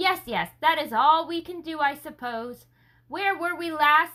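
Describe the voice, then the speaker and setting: A put-on character voice speaks with ordinary pitch variation. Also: woman, extremely high pitch for a woman, fairly slow pace. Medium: read story. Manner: tumbling thoughts.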